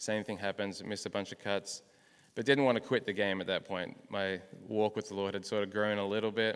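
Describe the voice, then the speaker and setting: With an Australian accent, a man talks in a fairly low pitch and a monotone, flat intonation, on a very clean recording with a silent background. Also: fairly quick pace. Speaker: professional golfer. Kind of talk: testimony.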